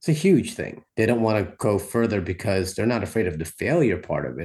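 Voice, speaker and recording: A somewhat breathy man at a very fast pace, with lively intonation, against a quiet background. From Philippines, raised in US from childhood. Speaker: performance poet. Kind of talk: interview.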